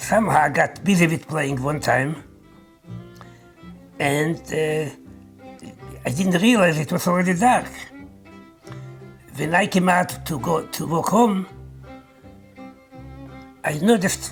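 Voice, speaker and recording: Over music in the background, a man with a fairly high pitch and ordinary pitch variation speaks with long, frequent pauses. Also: fairly slow pace. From Poland. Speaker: Holocaust survivor. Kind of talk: oral history testimony.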